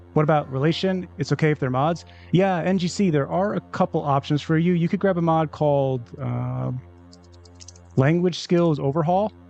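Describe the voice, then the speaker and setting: Over music in the background, a man with a fairly high pitch speaks at a moderate pace with ordinary pitch variation. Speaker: gaming streamer. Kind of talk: live stream commentary.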